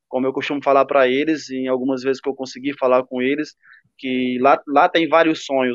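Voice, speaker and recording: Speaking fairly quickly, the man keeps his voice at a medium pitch. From Ceará, Brazil (Cariús). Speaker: professional footballer. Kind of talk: interview.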